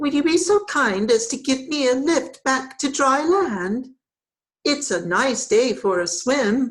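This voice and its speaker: A woman puts on a squeaky character voice at a high pitch. She speaks at a fairly slow pace. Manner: polite, pleading.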